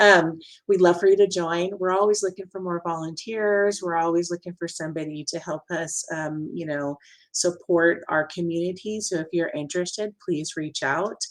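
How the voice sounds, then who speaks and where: A woman with a fairly low pitch speaks at a moderate pace and keeps her intonation fairly even. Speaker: event moderator. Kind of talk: webinar wrap-up. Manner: hesitant, many fillers.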